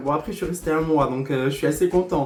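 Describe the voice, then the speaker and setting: Over noticeable background noise, a man speaks loudly in an animated tone. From southwest France, Lourdes. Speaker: hairdresser and former reality TV contestant. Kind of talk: storytime vlog monologue. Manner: excitable, animated.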